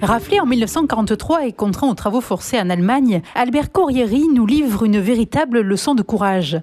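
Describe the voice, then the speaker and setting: With a dark, mellow tone and a fairly high pitch, a woman speaks at a moderate pace with lively intonation. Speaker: radio journalist. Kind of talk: radio interview questions.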